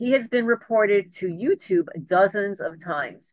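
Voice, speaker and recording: A woman talks with ordinary pitch variation. The sound is dry and close, with no echo. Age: 60s. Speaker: homesteading YouTuber and harassment victim. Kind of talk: interview, partly reading a prepared letter. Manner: halting.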